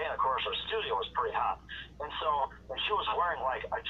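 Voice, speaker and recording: A man talks fairly quickly while background noise is clearly heard. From North Dakota, USA. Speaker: veteran radio voice, radio engineer. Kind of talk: casual interview answer. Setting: phone line.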